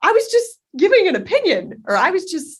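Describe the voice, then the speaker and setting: This woman speaks with an American accent. Her voice is loud. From Texas, Dallas. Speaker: content strategy lead. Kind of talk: podcast interview. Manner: fast.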